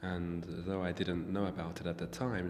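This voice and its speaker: Over music in the background, a man with a British accent speaks in a calm tone, with a very deep, low pitch and fairly even intonation. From England. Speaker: writer. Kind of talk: interview answer. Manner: soft-spoken, calm.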